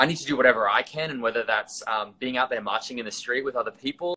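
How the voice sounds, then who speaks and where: A man talks at a fairly quick pace with an Australian accent. His medium-pitched voice has a bright, sharp tone. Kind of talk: casual chat. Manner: halting.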